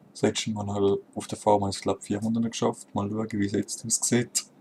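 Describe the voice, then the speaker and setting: A man's fairly low-pitched voice with monotone, flat intonation. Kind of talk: casual gameplay commentary.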